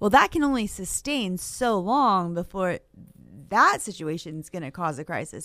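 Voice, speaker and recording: Recorded very cleanly against a silent background, a woman with an American accent talks at a moderate pace in an unremarkable speaking voice with a fairly low pitch. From Maine, US. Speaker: realtor association government affairs director. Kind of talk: radio talk show interview.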